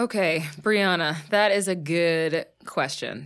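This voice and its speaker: A woman with an American accent speaks at a very slow pace and a fairly low pitch, with ordinary pitch variation. The recording is very clean, with a silent background. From US, Pittsburgh. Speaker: actress. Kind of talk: casual chat. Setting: studio.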